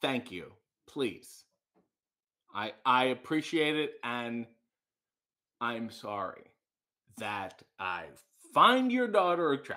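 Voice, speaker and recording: A man's voice has a bright, sharp tone against a quiet background. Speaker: livestream host. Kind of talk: casual livestream chat reading comments. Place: kitchen. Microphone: webcam.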